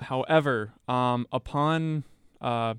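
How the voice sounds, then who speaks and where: A normal speaking voice from a man, medium in pitch, with fairly even intonation and a dry, close sound with no echo. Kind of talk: radio dj patter.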